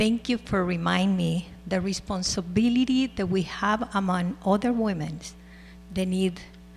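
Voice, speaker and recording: This woman talks at a fairly slow pace in a somewhat breathy voice. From El Salvador. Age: 60s. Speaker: school board president. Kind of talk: public meeting remarks. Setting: school board meeting.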